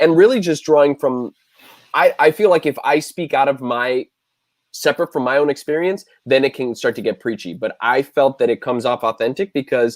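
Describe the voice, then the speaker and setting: With an American accent, a man speaks in an unremarkable speaking voice at a medium pitch and moderate pace, recorded dry and close with no echo. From South Florida. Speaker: screenwriter and actor. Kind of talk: video Q&A interview. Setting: online livestream.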